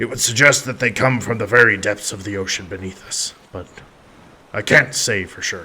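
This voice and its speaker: In a put-on character voice, a man sounds raspy at a medium pitch. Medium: read story. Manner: steady, authoritative.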